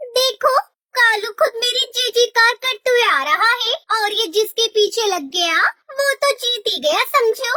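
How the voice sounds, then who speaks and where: A cartoonish character voice sounds female, with an extremely high pitch. It moves at a moderate pace. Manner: stubborn, self-assured.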